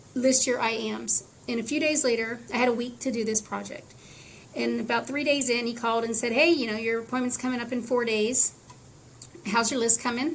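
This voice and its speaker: A woman's fairly high-pitched voice, fairly quick and fairly even in intonation. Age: 50s. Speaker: patient advocate. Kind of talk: interview.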